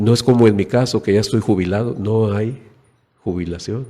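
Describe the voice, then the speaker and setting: A man's fairly low, dark, mellow voice at a fairly slow pace, with ordinary pitch variation and audible room echo. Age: 60s. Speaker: preacher. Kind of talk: sermon.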